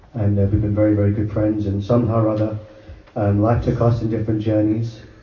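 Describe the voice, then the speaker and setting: There is noticeable background noise as a man speaks. His pitch is fairly low and his pace fairly quick. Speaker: devotee friend giving testimony. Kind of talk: testimony.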